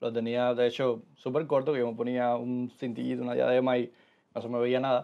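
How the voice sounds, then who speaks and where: This is a man talking. His pace is very fast. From Cuba, Holguín; Cuba. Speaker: former medical student; podcast guest. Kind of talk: interview. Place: studio.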